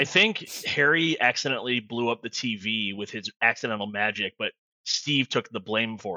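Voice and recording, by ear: The background stays quiet. The text is read aloud in a natural voice, with ordinary pitch variation.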